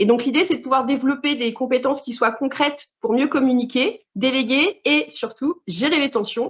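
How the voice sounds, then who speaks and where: A woman with a high pitch talks at a moderate pace with ordinary pitch variation and hardly any pauses. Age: 40s. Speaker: management trainer. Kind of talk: interview. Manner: hesitant, many fillers.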